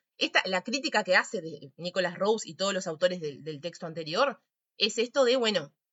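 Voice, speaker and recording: A woman's voice at a medium pitch. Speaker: psychology teacher. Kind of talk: lecture. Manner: fast.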